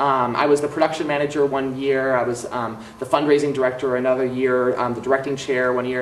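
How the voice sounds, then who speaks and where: Amid noticeable background noise and audible room echo, a man with an American accent talks at a very fast pace. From US Midwest, Milwaukee, Wisconsin. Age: 20s. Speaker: theater director and songwriter, recent graduate. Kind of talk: interview monologue. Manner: hesitant, many fillers.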